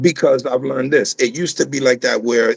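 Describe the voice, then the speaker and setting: A man with an American accent, a normal speaking voice, ordinary pitch variation and a fairly quick pace, in a dry, close recording with no echo. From South Bronx, New York. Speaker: rapper. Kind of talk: interview.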